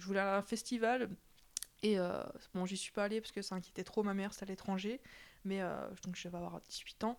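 Fairly quick in pace, the delivery keeps a fairly even intonation. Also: woman. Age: 20s. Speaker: interviewee sharing her love life. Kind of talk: personal testimony interview.

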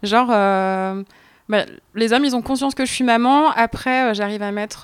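A woman with an ordinary speaking voice, moderate pace and fairly even intonation, in a dry, close sound with no echo. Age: 20s. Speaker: mother sharing experience. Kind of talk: casual chat.

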